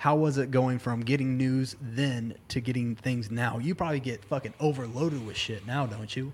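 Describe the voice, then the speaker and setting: A man speaks in a plain, everyday voice at a medium pitch. His pace is moderate, his intonation fairly even, and he hardly pauses. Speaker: podcast host. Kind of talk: casual chat. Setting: bar.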